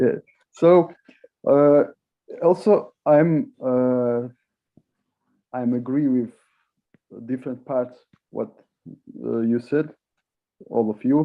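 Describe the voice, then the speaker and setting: A man with a non-native accent speaks very slowly, with long, frequent pauses. His pitch is medium, with ordinary variation. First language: not English. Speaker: discussion moderator. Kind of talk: panel discussion. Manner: halting.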